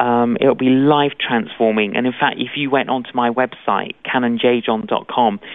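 A man with a London accent, medium pitch and a fairly slow pace. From London, England (Greek Cypriot family). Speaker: evangelist preacher. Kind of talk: interview.

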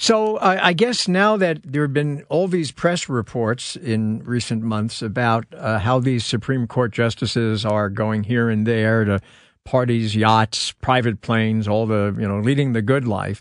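At a fairly slow pace and with hardly any pauses, a man speaks in an ordinary speaking voice at medium pitch. His pitch variation is ordinary, and the background is quiet. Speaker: radio host. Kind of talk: radio interview.

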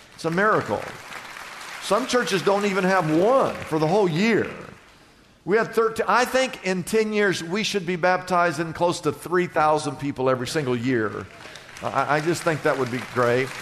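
A man's high-pitched voice at a moderate pace, lively in intonation, with audible room echo and noticeable background noise. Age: 60s. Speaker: pastor. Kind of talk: sermon.

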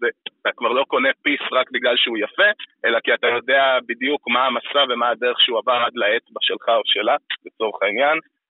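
Loudness stays very even as the man speaks rather quickly. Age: 20s. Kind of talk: interview.

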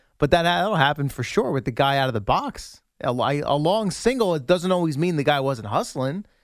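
With hardly any pauses, a man with a plain, everyday voice talks at a fairly quick pace, fairly high in pitch and lively in intonation, on a very clean recording with a silent background. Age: 30s. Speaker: sports radio co-host. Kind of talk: casual chat.

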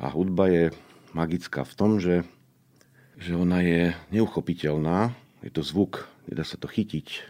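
A man speaks fairly slowly in a very deep, low voice with a dark, mellow tone and fairly even intonation, leaving long, frequent pauses. The recording is very clean, with a silent background. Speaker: conductor and composer. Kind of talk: interview. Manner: patient explaining.

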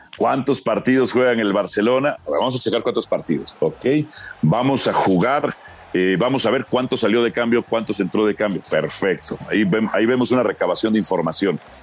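A man in an ordinary speaking voice, very even loudness, ordinary pitch variation. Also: medium pitch for a man, moderate pace. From Mexico. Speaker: football commentator and journalist. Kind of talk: casual chat.

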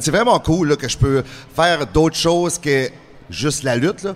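Noticeable background noise is present. A man speaks over it at a fairly quick pace. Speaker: professional wrestler and actor. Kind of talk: interview.

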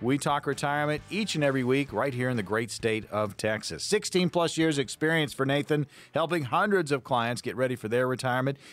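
With lively intonation and a fairly high pitch, a man talks at a fairly quick pace with hardly any pauses. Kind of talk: infomercial pitch urging listeners to call now. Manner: urgent, punchy, repeating the phone number for emphasis; hard-sell scarcity appeal: 'they will not last long'.

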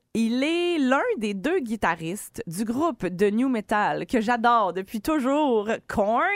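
A woman in a Quebec accent, fairly high-pitched, very slow with hardly any pauses and very wide pitch swings. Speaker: radio host. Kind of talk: casual morning radio banter. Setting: studio.

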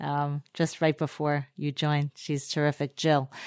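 Speaking at a moderate pace, a woman is heard. The recording is very clean and the background silent. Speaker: podcast co-host. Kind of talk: casual interview. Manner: enthusiastic.

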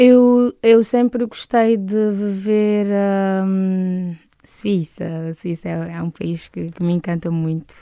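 A woman with a medium pitch and a dark, mellow tone speaks very slowly, with ordinary pitch variation. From Cape Verde, interior of Santiago island. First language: Cape Verdean Creole (speaking Portuguese). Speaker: singer. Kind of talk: interview.

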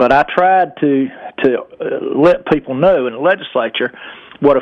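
Through noticeable background noise comes a man's voice with a fairly high pitch. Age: old. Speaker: former state legislator, caller. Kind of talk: radio call-in. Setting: phone call.

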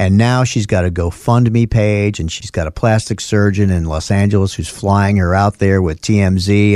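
In a New York accent, a man talks with a fairly low pitch and a dark, mellow tone, the sound dry and close with no echo. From US Northeast, North Bronx, New York. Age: 60s. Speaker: lawyer. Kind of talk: casual chat.

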